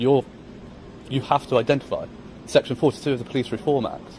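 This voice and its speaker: A man with a British accent, medium pitch, and a very fast pace. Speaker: auditor filming police. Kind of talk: confrontational street exchange. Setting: outdoors on public footpath.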